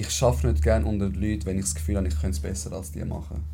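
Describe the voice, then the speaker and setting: This man's voice has a dark, mellow tone and is somewhat breathy, with audible room echo around it. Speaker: podcast host. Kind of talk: casual chat.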